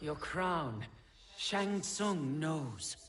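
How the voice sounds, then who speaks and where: Putting on a character voice, a man speaks with lively intonation. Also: fairly high pitch for a man. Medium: short film. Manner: terse, cold.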